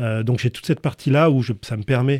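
In a dry, close recording with no echo, a man speaks with a dark, mellow tone and fairly even intonation. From northern France. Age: 50s. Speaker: entrepreneur. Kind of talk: interview. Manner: hesitant, with fillers.

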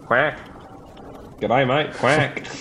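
Over clear background noise, a man uses a put-on character voice at a medium pitch with an Australian accent. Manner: playful, comedic.

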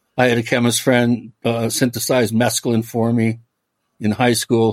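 With an American accent, this is an ordinary speaking voice delivered at a fairly slow pace. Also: man. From US Pacific Northwest, Washington State (Medina, near Bellevue). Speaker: author and paranormal researcher. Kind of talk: casual interview.

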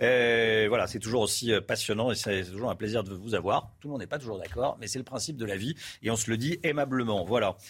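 A man with a normal speaking voice at a fairly quick pace, ordinary pitch variation, in a very clean recording with a silent background. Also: medium pitch for a man. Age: 50s. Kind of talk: live news presenting.

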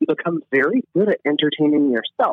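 A fairly high-pitched man with an American accent and an unremarkable speaking voice, at a moderate pace with ordinary pitch variation. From US Midwest and South, Illinois/Kentucky. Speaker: stand-up comedian. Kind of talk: casual chat.

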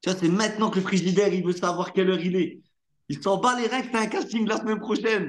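A man with a high pitch, fairly even intonation and a fairly quick pace. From northern France (Hauts-de-France). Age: 30s. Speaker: actor. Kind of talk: casual interview.

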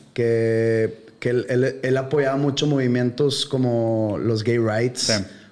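Speaking very slowly with a Mexican accent, a man keeps a medium pitch and very even loudness. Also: fairly even intonation, hardly any pauses. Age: 40s. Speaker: podcast host. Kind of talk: casual chat.

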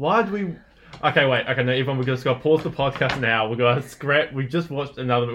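Speaking with a New Zealand accent, the man goes at a very fast pace. His voice is medium in pitch with ordinary variation. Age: 20s. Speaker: podcast co-host. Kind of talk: casual chat. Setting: home lounge studio.

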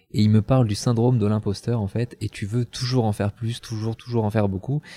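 In a very clean recording with a silent background and a dry, close sound with no echo, a man speaks with a dark, mellow tone, a fairly low pitch and fairly even intonation. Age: 30s. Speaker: kickboxing champion. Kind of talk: casual chat. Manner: halting, many repetitions.

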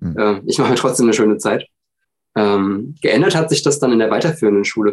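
A man with an ordinary speaking voice talks at a medium pitch. His pace is fairly quick, with ordinary pitch variation. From Hesse, Germany (village near Frankfurt). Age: 30s. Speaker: podcast guest with dyslexia. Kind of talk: casual interview.

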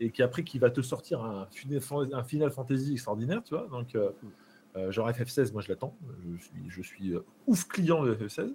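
This man's voice sits at a medium pitch, with a dark, mellow tone and a somewhat breathy quality. He keeps a moderate pace and ordinary pitch variation, with long, frequent pauses. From France, Charente-Maritime. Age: 30s. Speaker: streamer. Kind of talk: casual chat. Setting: live stream.

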